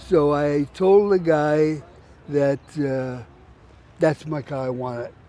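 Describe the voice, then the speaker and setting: A man with a fairly high pitch and ordinary pitch variation talks at a very slow pace, leaving long, frequent pauses. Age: 80s+. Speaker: car builder. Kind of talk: storytelling interview.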